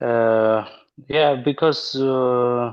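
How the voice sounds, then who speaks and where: A man of medium pitch with an Armenian accent and ordinary pitch variation. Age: 30s. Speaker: linguist and university lecturer. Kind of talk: interview. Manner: halting.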